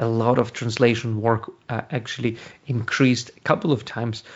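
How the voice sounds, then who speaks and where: Speaking with a Ukrainian accent, a man keeps a medium pitch and a monotone, flat intonation. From Ukraine. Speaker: translation company founder. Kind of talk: interview. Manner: halting.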